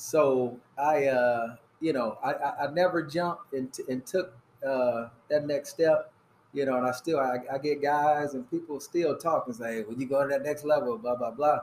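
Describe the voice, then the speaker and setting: With an American accent, a man talks at a moderate pace in a normal speaking voice, his pitch varying in an ordinary way. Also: fairly high pitch for a man. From Fort Wayne, Indiana. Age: 50s. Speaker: high school basketball coach. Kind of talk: casual chat. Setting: cigar lounge.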